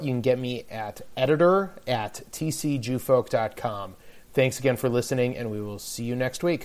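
This man speaks in a plain, everyday voice at a medium pitch. His pitch varies in an ordinary way. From Detroit. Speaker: podcast host and editor. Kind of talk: casual interview; scripted intro and outro.

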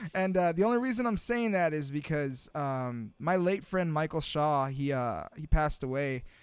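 A man with an American accent has an unremarkable speaking voice and lively intonation. He talks at a moderate pace with hardly any pauses. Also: fairly high pitch for a man. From Imperial Valley, Southern California. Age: 30s. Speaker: podcast co-host, student teacher. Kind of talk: casual chat. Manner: relaxed, filler-heavy.

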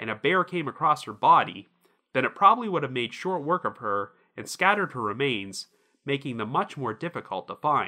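Pitch swings very widely at a fairly quick pace. The recording is very clean, with a silent background. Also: man. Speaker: podcast host. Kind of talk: true-crime narration. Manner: measured, serious; steady, even storytelling delivery.

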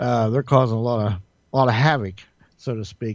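In an ordinary speaking voice, a man of medium pitch talks at a fairly quick pace over a quiet background. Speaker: radio co-host. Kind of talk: casual chat.

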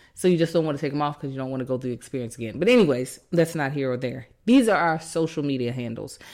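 Speaking at a very fast pace with hardly any pauses, the woman has a very deep, low pitch and ordinary pitch variation. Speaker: podcast co-host. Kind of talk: casual chat.

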